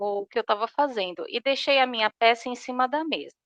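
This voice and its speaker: Recorded against a quiet background with a dry, close sound and no echo, a woman talks with ordinary pitch variation. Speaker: workshop participant. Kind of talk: personal sharing in a group. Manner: slow; hesitant.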